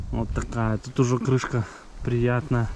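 Light background noise sits under a man's speech. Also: dry sound with no echo. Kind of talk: casual vlog chat. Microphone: phone near.

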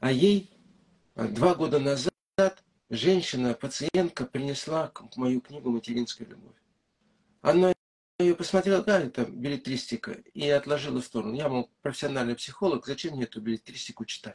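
Against a quiet background, a man speaks at a moderate pace in a fairly high, somewhat breathy voice with lively intonation and long, frequent pauses. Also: big swings in loudness. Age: old. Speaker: psychologist and author; interviewee. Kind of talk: interview. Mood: calm, explanatory. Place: home room. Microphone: video call.

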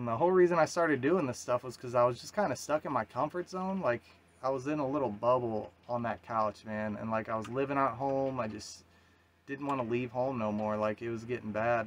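A man's voice with ordinary pitch variation over light background noise. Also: fairly quick pace. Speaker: solo sailor vlogger. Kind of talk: casual vlog chat. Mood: reflective, earnest. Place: boat. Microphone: phone near.

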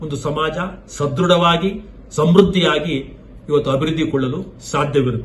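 Recorded with audible room echo, a man talks at a fairly high pitch. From India, Karnataka, Tumakuru district. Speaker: retired agricultural scientist and academic administrator. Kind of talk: lecture. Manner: formal; halting, short phrases.

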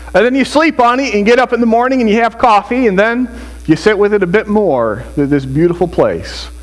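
A man speaks at a moderate pace. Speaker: preacher. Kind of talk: sermon. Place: church.

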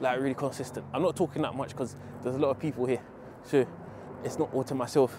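The voice moves at a very fast pace with fairly even intonation, in a dry sound with no echo and music in the background. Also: man. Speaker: fitness vlogger. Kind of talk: casual vlog chat. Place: open country. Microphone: lapel.

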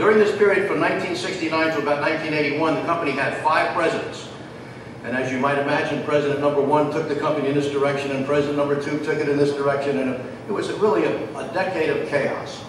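A man talking at a very fast pace with fairly even intonation, amid audible room echo and noticeable background noise. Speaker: presenter. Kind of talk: lecture. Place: stage. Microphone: podium.

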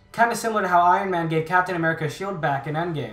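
A man speaks at a high pitch with ordinary pitch variation. Noticeable background noise sits behind him. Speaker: YouTube host explaining movie lore. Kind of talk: scripted narration.

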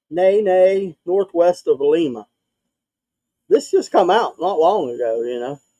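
A man speaks in an Appalachian accent, high-pitched for a man, with a dark, mellow tone. The background is quiet. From West Virginia. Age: 40s. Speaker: podcaster guest; show host. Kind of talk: casual chat. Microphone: video call.

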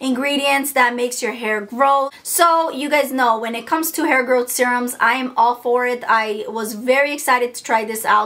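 A woman speaks in a high pitch with fairly even intonation. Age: 30s. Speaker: beauty YouTuber. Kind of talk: product review. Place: home room.

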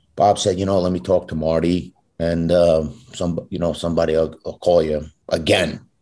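Against a quiet background, a man talks at a moderate pace in a very deep, low pitch with fairly even intonation. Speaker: guest actor. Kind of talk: interview answer, storytelling. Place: home room. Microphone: video call.

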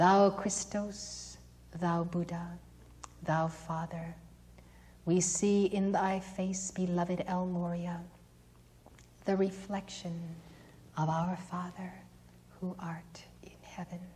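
A woman speaks at a very slow pace with long, frequent pauses and monotone, flat intonation. Her voice is fairly low, somewhat breathy, and dark and mellow in tone. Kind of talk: invocation prayer. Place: church.

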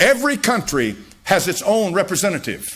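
A man is speaking at a moderate pace. His pitch is high. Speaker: pastor. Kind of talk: sermon preaching.

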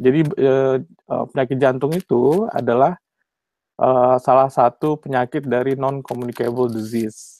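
In a dry sound with no echo, a man speaks at a fairly slow pace, his dark, mellow tone holding fairly even intonation. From Indonesia, West Java (Bandung); West Java, Indonesia. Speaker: cardiologist and PhD candidate; candidate. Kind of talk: webinar lecture. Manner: hesitant, many fillers. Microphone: video call.

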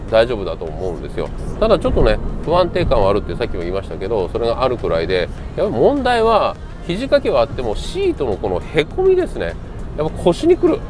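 A man talking at a very fast pace, dry sound with no echo, clear music playing behind him. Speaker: car owner vlogger. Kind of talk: casual vlog chat. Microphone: lapel.

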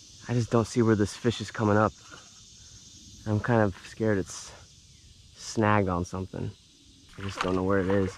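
With long, frequent pauses, a man speaks at a moderate pace and fairly low pitch in a monotone, flat intonation, dry sound with no echo, and light background noise. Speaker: angler vlogger. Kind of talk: casual vlog chat. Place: waterside. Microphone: phone near.

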